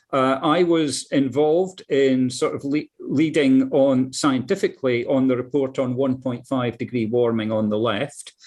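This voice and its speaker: With a Scottish accent, a man talks at a medium pitch with ordinary pitch variation. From Scotland, Dundee area. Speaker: climate scientist, professor. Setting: video call. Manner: halting, repeats words.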